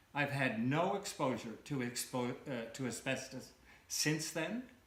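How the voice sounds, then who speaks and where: Amid audible room echo, a man speaks at a fairly slow pace with ordinary pitch variation. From Canada. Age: 60s. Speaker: cancer patient. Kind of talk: interview testimony. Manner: halting, many fillers.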